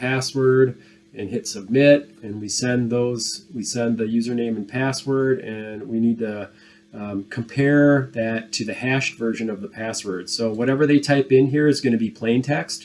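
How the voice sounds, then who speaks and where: Over music in the background, a man of medium pitch talks at a moderate pace with fairly even intonation and big swings in loudness. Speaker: programming instructor. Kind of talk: tutorial. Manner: casual with filler words.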